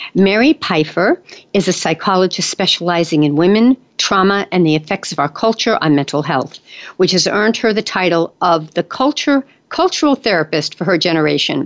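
Her voice is a plain, everyday voice: a woman at medium pitch with lively intonation, very even loudness, and a fairly quick pace. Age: 60s. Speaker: radio host. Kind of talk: interview; scripted narration. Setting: studio.

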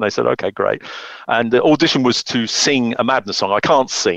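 The man's voice sits at a medium pitch with ordinary pitch variation, in a dry, close sound with no echo. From Cotswolds, England. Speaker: marketing consultant. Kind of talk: interview. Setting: radio show.

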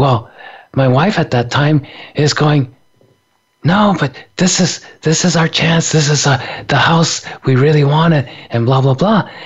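A somewhat breathy man speaks at a fairly slow pace, with long, frequent pauses. His fairly high voice holds very even loudness and ordinary pitch variation. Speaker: radio host. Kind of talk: casual chat.

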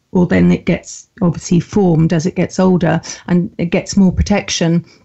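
At medium pitch, a woman speaks with fairly even intonation. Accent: southern English. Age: 50s. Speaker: mental health campaigner and author. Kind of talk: interview.

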